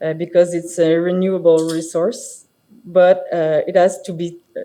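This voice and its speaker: A dark, mellow tone in a Quebec accent, monotone and flat in intonation, at a fairly slow pace. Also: woman. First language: French. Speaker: architect and firm partner. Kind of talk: conference presentation. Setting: stage with audience. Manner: halting, many fillers.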